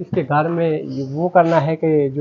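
A man speaks at a moderate pace with fairly high pitch and ordinary pitch variation, his tone slightly mellow with a slightly husky edge.

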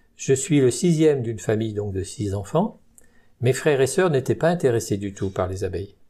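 In a very clean recording with a silent background, a man talks at a moderate pace and medium pitch, his tone dark and mellow, somewhat breathy, with lively intonation. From Burgundy, France (Saône-et-Loire). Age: 70s. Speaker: retired beekeeper. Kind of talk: interview. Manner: hesitant.

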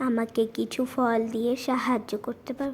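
A female-sounding cartoonish character voice sits at a high pitch. It moves at a moderate pace in a flat monotone.

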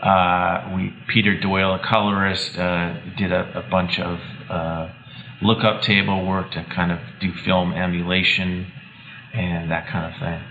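Over noticeable background noise, a man with a very deep, low pitch speaks at a fairly slow pace in a monotone, flat intonation. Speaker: cinematographer. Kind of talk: interview. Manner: hesitant, uses fillers.

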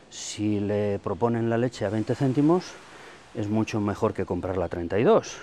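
A man speaks with a dark, mellow tone. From Santander, Cantabria, Spain; Cantabria, Spain. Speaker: dairy farmer. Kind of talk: interview. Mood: earnest, frustrated about milk prices. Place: farm.

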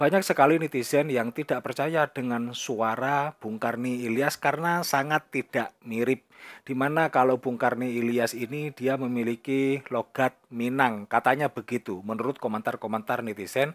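An unremarkable speaking voice moves at a moderate pace with hardly any pauses and fairly even intonation, in a dry, close sound with no echo. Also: man. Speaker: Islamic YouTube commentator. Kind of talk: online religious commentary.

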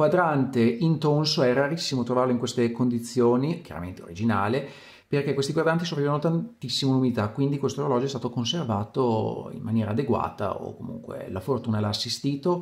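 Speaking at a fairly quick pace, a man with a medium-pitched, somewhat breathy voice uses lively intonation. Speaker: watch collector. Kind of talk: video presentation.

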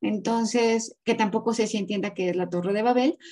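Over a quiet background, a woman with a fairly high, somewhat breathy voice and a dark, mellow tone speaks at a moderate pace with fairly even intonation. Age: 30s. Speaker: graphologist and body language analyst; body language analyst. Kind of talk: interview. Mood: firm, somewhat indignant. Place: home room. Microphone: video call.

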